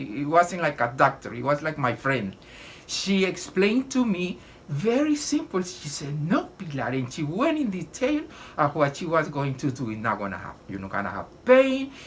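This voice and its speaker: At a moderate pace, the speech shows very wide pitch swings and big swings in loudness amid noticeable background noise. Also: woman, very deep, low pitch for a woman. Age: 80s+. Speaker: patient. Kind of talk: testimony. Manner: halting.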